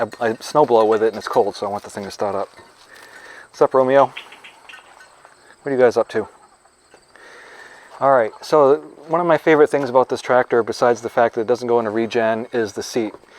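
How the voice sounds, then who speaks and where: A man speaks at a fairly quick pace and medium pitch with ordinary pitch variation, leaving long, frequent pauses. The sound is dry and close with no echo, and background noise is noticeable. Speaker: farmer. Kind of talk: product review. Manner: fast.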